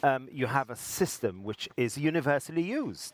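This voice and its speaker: A man speaks at a moderate pace with an English accent. His intonation is lively, and the sound is dry and close with no echo. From England. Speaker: interviewer at health technology conference. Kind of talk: interview. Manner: halting, many fillers.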